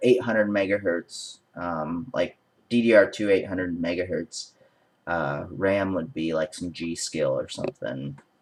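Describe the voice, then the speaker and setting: A man talks with very wide pitch swings. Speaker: tech video creator. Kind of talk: casual tutorial. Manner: hesitant, many fillers.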